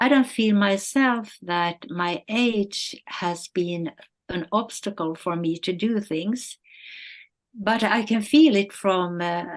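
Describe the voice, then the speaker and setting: Delivery moves at a very slow pace. The pitch shows ordinary variation. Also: woman, medium pitch for a woman. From northern Sweden. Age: 70s. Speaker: model and influencer. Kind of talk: interview. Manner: halting, many fillers.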